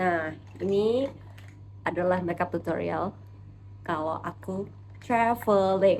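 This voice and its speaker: The speaker talks at a very slow pace with ordinary pitch variation and long, frequent pauses. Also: woman, fairly low pitch for a woman. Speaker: beauty vlogger. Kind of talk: makeup tutorial. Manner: casual, chatty.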